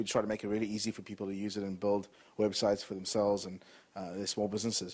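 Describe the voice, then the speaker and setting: A man with a South African accent, fairly low in pitch, at a very fast pace with monotone, flat intonation, on a very clean recording with a silent background. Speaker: entrepreneur. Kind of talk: talk to an audience.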